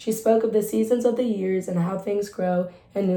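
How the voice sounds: Natural voice for reading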